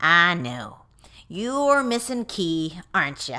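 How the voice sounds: On a very clean recording with a silent background, a woman puts on a gruff character voice at a medium pitch, swinging very widely in pitch at a very slow pace.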